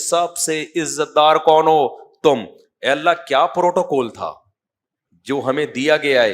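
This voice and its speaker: Over a very clean recording with a silent background, a man uses an ordinary speaking voice with ordinary pitch variation. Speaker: Islamic scholar. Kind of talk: religious lecture. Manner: conversational, humorous.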